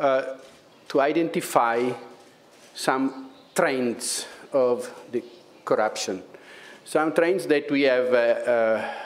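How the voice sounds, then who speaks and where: A man's very slow, medium-pitched voice with an Italian accent, long, frequent pauses, audible room echo, and noticeable background noise. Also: ordinary pitch variation. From Italy. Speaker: public prosecutor, head of EU anti-fraud office. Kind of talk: conference talk. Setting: conference with audience. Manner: halting, many fillers.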